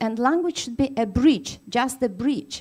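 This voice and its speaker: A woman speaks with lively intonation at a fairly high pitch. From Tatarstan, Russia. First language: Tatar. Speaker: university lecturer. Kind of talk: conference keynote. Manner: hesitant, many fillers.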